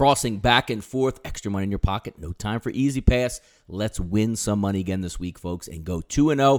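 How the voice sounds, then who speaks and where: Talking at a fairly quick pace with hardly any pauses, a man uses a plain, everyday voice at a fairly low pitch, with a dry, close sound and no echo. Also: ordinary pitch variation. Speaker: sports betting analyst segment host. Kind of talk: betting picks segment.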